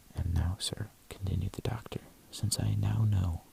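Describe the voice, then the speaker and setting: Soft-spoken, the speaker keeps to a moderate pace. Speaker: ASMR content creator. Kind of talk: ASMR audiobook reading.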